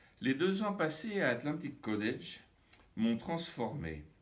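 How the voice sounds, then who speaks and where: Lively intonation marks this man's speech, heard with audible room echo. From France. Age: 70s. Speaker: retired psychotherapist and trainer. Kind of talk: testimony.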